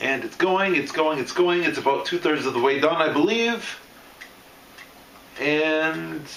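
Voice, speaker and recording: Through audible room echo and noticeable background noise, a man speaks at a fairly slow pace with long, frequent pauses, a fairly high pitch and ordinary pitch variation. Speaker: steampunk hobbyist demonstrating an absinthe kit. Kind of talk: unscripted product demonstration. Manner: ad-libbed, casual.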